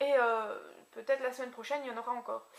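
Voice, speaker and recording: A woman talks at a very fast pace in a high pitch. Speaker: beauty vlogger. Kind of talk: casual haul video. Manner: animated.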